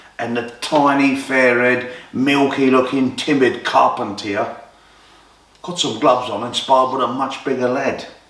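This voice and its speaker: Over noticeable background noise and with audible room echo, a man talks at a moderate pace and a medium pitch. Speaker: boxing storyteller. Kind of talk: storytelling narration. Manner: animated.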